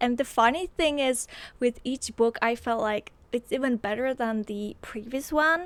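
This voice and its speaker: A woman talks at a moderate pace in a high voice with ordinary pitch variation. The sound is dry and close, with no echo. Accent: Polish. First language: Polish. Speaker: book vlogger. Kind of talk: casual chat. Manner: animated.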